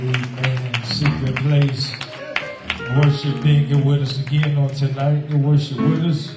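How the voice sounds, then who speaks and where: A man speaks at a fairly slow pace with audible room echo. Clear music plays in the background. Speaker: revival preacher. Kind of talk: sermon opening acknowledgements. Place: church.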